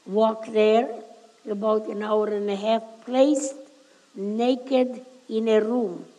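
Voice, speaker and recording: With noticeable background noise, a woman speaks at a very slow pace, leaving long, frequent pauses. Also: fairly high pitch for a woman, fairly even intonation. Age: 80s+. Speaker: Holocaust survivor. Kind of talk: public talk to a school audience.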